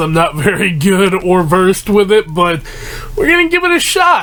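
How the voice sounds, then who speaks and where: A man with a high pitch talks at a moderate pace while noticeable background noise plays underneath. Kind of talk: casual talk to camera. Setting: broken mic. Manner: rambling.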